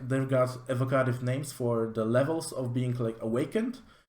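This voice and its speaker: A man at a medium pitch with a Polish accent, fairly even intonation and a moderate pace. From Poland. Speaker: tabletop game reviewer. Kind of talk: product review walkthrough. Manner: casual with many fillers.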